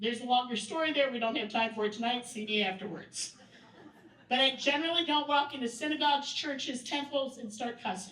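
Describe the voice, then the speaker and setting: A loud, high-pitched woman's voice at a fairly quick pace. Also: ordinary pitch variation. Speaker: workshop presenter. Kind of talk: training workshop talk. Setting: event room with audience.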